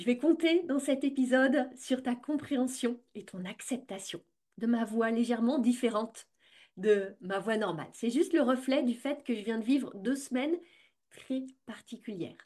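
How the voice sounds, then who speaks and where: This woman's high voice unfolds at a fairly slow pace, its pitch shifting in an ordinary way. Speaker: business coach and podcast host. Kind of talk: podcast monologue.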